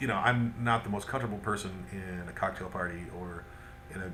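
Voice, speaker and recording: There is audible room echo around this man's voice. He speaks with lively intonation. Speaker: vlogger. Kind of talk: video diary monologue. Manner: hesitant, many fillers.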